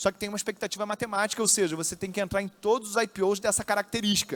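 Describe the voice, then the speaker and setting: With fairly even intonation, the voice comes across dry and close, free of any echo. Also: man. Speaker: investment influencer. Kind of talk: lecture. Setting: stage with audience. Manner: fast.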